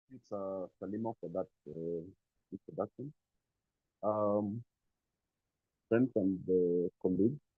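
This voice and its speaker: Soft-spoken and fairly low-pitched, a man talks at a fairly slow pace with long, frequent pauses. His loudness swings widely, while his pitch varies in an ordinary way. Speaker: NGO executive. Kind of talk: formal speech. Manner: hesitant, many fillers.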